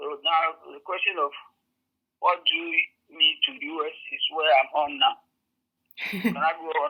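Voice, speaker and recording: Speaking at a fairly slow pace with a Ghanaian accent, a woman leaves long, frequent pauses while her loudness swings widely. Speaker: community member helping new African arrivals. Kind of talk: interview answer. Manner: hesitant, conversational.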